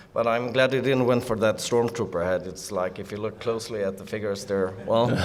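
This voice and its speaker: At a fairly quick pace, a man with a Swedish accent speaks in a fairly low pitch. His intonation stays fairly even over noticeable background noise. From Sweden. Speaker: toy collector panelist. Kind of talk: convention panel presentation.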